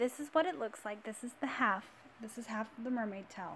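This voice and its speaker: This woman is soft-spoken and somewhat breathy, with a fairly high pitch. She talks at a moderate pace. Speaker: crochet tutorial creator. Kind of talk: tutorial. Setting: at home in her room.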